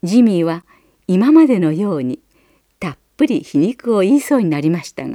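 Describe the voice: Quiet background under plain reading aloud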